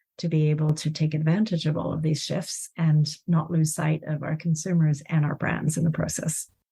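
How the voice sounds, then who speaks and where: Speaking in an American accent, a woman with a very deep, low voice sounds dark, mellow and somewhat breathy, her intonation monotone and flat. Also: moderate pace. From Chile. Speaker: corporate design executive. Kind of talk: podcast interview.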